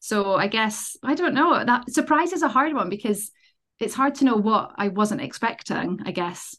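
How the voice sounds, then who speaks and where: A normal speaking voice from a woman, fairly high-pitched, with lively intonation at a moderate pace. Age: 30s. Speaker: dog trainer. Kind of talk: casual interview.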